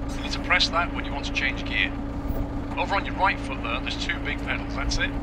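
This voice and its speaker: A man's fairly quick speech competes with loud noise in the background. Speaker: tractor driving instructor. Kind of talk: tutorial. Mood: calm, encouraging. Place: farm machine.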